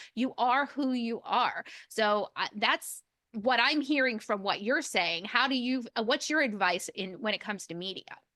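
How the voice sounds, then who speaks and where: Loud and bright with a sharp tone, a woman speaks at a moderate pace with lively intonation and a fairly high pitch. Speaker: podcast host. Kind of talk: interview.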